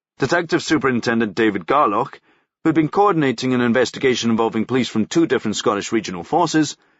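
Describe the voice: Someone is doing plain reading aloud against a quiet background.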